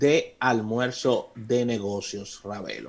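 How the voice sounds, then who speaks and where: The man's pitch is medium. He talks very slowly. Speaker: radio host. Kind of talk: radio talk show, casual discussion. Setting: radio studio.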